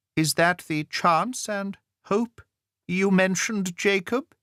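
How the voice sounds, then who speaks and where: Someone puts on a character voice at a middle pitch, speaking at a fairly slow pace. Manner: faltering.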